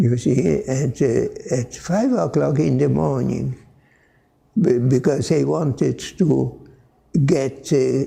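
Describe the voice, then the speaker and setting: A man with a Polish accent speaks at a very slow pace and very even loudness. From Poland. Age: 80s+. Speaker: Franciscan priest. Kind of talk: interview answer.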